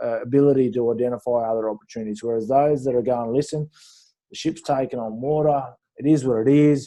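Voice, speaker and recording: A man speaks very fast in an Australian accent. His pitch is medium and his intonation fairly even. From rural New South Wales, Australia. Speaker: former pro rugby player, business coach. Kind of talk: interview. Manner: hesitant, many fillers.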